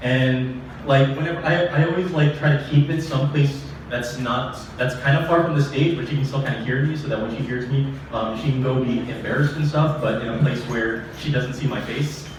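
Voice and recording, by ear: The speech moves at a fairly quick pace with few pauses and ordinary pitch variation. Background noise is clearly audible. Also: man, medium pitch for a man.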